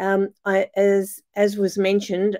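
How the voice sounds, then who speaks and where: Recorded dry and close with no echo, a woman with an Australian accent talks at a very slow pace in a dark, mellow tone. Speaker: pediatrician. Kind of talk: conference presentation.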